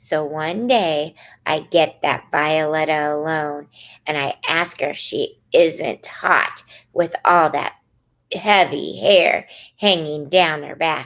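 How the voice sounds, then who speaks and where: On a very clean recording with a silent background, a woman does a put-on character voice that is raspy and very deep and low, at a very slow pace. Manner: lowered secretive voice.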